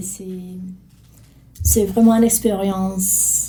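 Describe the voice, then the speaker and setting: A woman speaks at a fairly slow pace and a medium pitch, her intonation monotone and flat, with audible room echo. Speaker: journalist and documentary maker. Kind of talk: interview.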